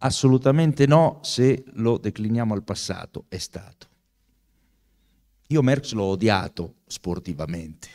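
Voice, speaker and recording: Against a quiet background, the voice moves at a fairly slow pace, with big swings in loudness and long, frequent pauses. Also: man. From Italy. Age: 60s. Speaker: author and professor; professor. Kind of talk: book talk. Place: hall. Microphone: handheld.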